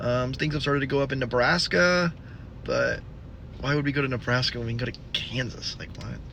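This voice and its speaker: Noticeable background noise and audible room echo around a man's fairly quick pace. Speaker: storm chaser vlogger. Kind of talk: casual vlog narration. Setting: at a gas station.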